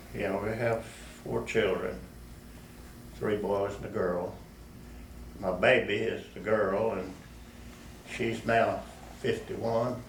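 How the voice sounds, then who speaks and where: A man speaks in a Texan accent at a very slow pace, with long, frequent pauses. Audible room echo and noticeable background noise fill the recording. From West Texas. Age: 80s+. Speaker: war veteran. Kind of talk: oral history interview. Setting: public library. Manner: halting.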